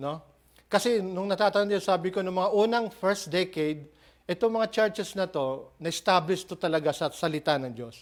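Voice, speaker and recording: A man with a high pitch and ordinary pitch variation talks at a moderate pace in a very clean recording with a silent background. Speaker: preacher. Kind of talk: expository sermon preaching.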